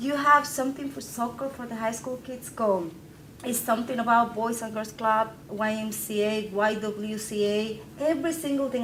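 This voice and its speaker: A woman speaks with a Spanish accent, fairly high in pitch with ordinary pitch variation. Audible room echo and noticeable background noise surround her voice. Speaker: publisher of a local news site. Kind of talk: conference panel talk. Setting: training session with audience. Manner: animated.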